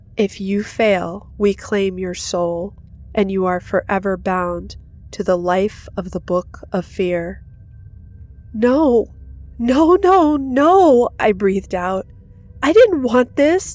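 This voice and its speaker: Over music in the background, a woman speaks very slowly in a dramatic tone with lively intonation. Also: medium pitch for a woman. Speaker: horror story narrator. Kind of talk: scripted horror narration, ghost story telling. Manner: hushed, suspenseful, dramatic pacing.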